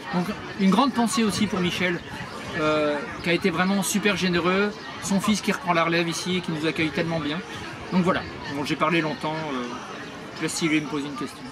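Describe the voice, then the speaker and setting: A high-pitched man speaks fairly quickly with ordinary pitch variation, leaving long, frequent pauses. Audible room echo and crowd noise sit behind him. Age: 60s. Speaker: retired prosthetist, charity founder. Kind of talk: interview. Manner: hesitant, many fillers.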